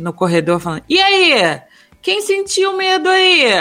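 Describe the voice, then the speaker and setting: A woman with a Rio de Janeiro accent, speaking at a fairly slow pace. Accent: carioca (Rio de Janeiro). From Minas Gerais, Brazil. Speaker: podcast co-host. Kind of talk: morning news chat show.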